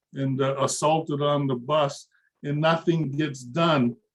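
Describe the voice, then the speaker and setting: The voice belongs to a man and sits fairly high. It is somewhat breathy. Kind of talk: webinar discussion. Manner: halting, many fillers and repetitions.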